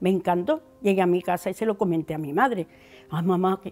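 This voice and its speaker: A woman with an Andalusian accent, fairly quick, with ordinary pitch variation and music in the background. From Andalusia, La Rambla (Córdoba). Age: 70s. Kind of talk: testimony.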